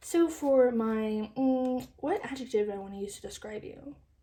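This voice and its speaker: The speaker mumbles. The pace is very slow. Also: woman. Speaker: tarot reader. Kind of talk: tarot reading to camera. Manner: mumbling.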